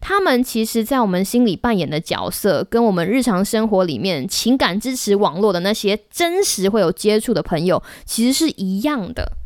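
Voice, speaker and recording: Talking at a moderate pace with hardly any pauses, a woman uses lively intonation, an animated tone and a fairly high pitch. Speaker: podcast host. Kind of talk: casual solo podcast talk.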